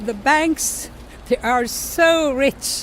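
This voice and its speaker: Her high-pitched voice shows ordinary pitch variation. Noticeable background noise surrounds this woman. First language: Swedish. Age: 70s. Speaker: retiree interviewee. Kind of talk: documentary interview. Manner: halting.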